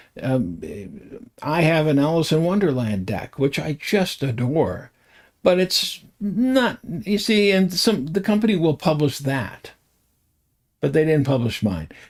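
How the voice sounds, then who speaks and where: A man with an American accent speaks at a fairly slow pace, his pitch swinging very widely. The recording is very clean, with a silent background. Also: fairly high pitch for a man. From US. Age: 70s. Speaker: tarot reader and online show host. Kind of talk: casual livestream talk. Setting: livestream with chat. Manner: halting, many fillers.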